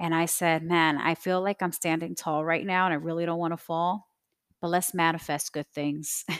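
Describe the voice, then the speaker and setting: On a very clean recording with a silent background, the voice is delivered in monotone, flat intonation. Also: woman, fairly low pitch for a woman, moderate pace. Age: 30s. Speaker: podcast host. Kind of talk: personal monologue.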